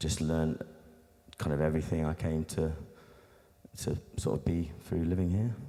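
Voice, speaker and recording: Speaking with an English Midlands accent, a man has a very deep, low pitch. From Nottingham, England (born in Australia). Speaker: beatboxer and musician. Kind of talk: interview. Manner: casual, halting with many fillers.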